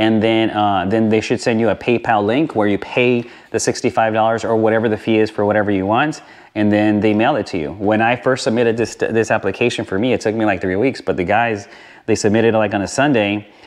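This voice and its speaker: A plain, everyday voice from a man, fairly low in pitch, at a fairly quick pace, with fairly even intonation and very even loudness. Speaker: motorcycle vlogger. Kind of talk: tutorial. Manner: casual with many fillers.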